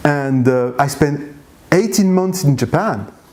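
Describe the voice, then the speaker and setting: A man's fairly high voice with ordinary pitch variation, against noticeable background noise. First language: not English. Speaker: blogger and language learner. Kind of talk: interview. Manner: halting, many fillers.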